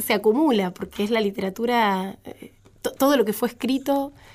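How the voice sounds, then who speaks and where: The speaker has a Rioplatense accent and lively intonation. The pace is moderate. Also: woman. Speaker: sociologist. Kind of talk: casual chat.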